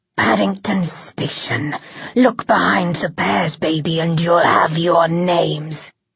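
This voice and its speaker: A put-on character voice sits at a middle pitch. It growls with a menacing tone. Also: fairly slow pace. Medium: read story. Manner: menacing, mocking.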